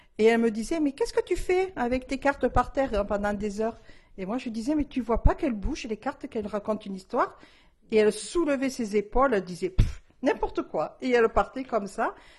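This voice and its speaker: Using lively intonation, a woman talks at a fairly quick pace and a fairly high pitch. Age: 60s. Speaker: tarot reader. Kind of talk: interview testimony. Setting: at the guest's home. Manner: hesitant, many fillers.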